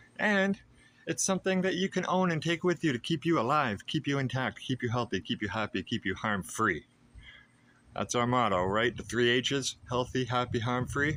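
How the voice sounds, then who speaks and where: A man's medium-pitched voice, bright and sharp in tone, with very wide pitch swings at a moderate pace. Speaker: housing advocate and vlogger. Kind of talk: casual advocacy monologue. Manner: animated.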